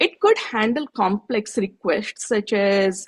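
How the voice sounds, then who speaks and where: Somewhat breathy voice in an Odisha accent with lively intonation, dry and close with no echo. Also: woman. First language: Odia. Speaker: tech presenter. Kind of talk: presentation.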